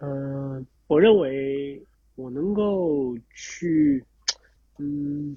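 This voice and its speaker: The speaker is a man with a fairly high pitch. His pitch variation is ordinary. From Shanghai, China. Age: 30s. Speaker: former pro cyclist and cycling coach. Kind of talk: interview conversation. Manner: halting, many fillers and repetitions.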